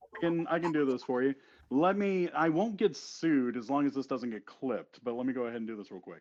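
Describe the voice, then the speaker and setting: Here is a man with a normal speaking voice. He speaks at a fairly quick pace with lively intonation. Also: fairly high pitch for a man. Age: 40s. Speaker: wrestling ring announcer. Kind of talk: casual chat.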